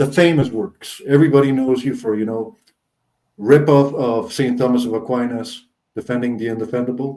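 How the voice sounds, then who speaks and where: This man has a dark, mellow tone and a medium pitch. He speaks at a moderate pace with fairly even intonation. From Costa Rica. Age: 30s. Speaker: interviewer. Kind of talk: interview.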